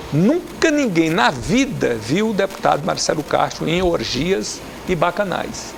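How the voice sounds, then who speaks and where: Against noticeable background noise, a man's voice moves through very wide pitch swings. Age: 60s. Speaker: politician. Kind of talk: TV interview. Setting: TV studio. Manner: animated.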